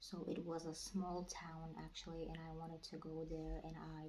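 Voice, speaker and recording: With a non-native accent, a woman speaks in a very deep, low, somewhat breathy voice. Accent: non-native English speaker. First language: not English. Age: 20s. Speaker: vlogger. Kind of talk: casual vlog talk. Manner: halting, with many fillers.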